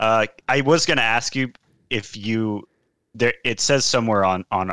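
In a very clean recording with a silent background and a dry, close sound with no echo, a man with an American accent talks at a fairly slow pace, his tone bright and sharp and his intonation lively. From Seattle, US. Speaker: MMA podcast co-host. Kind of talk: casual chat about MMA events.

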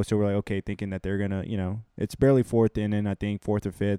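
Very fast speech with a dark, mellow tone, delivered with an American accent. The sound is dry and close with no echo, and the background is quiet. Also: man. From Houston, Texas. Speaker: recent graduate, data analyst. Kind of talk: casual chat. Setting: apartment.

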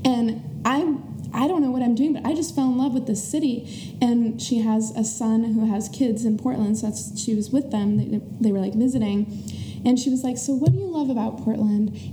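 A woman talks at a moderate pace and fairly high pitch with ordinary pitch variation. Audible room echo and noticeable background noise are present. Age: 20s. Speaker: small business owner. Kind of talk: casual chat.

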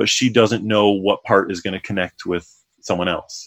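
This man has a plain, everyday voice pitched fairly low. His intonation stays fairly even. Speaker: author and comic artist. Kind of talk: casual chat.

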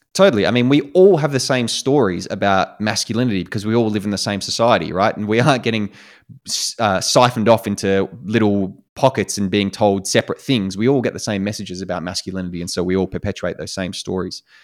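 On a very clean recording with a silent background, a man with an Australian accent talks at a very fast pace with hardly any pauses, his fairly low voice showing ordinary pitch variation. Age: 20s. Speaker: sex coach. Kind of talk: casual interview.

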